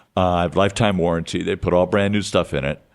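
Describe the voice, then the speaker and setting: Man with very deep, low pitch, very fast pace, very clean recording and silent background. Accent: American. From US Midwest (Detroit). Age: 70s. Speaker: recovering addict and community radio show host. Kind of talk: podcast interview, casual storytelling. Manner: animated.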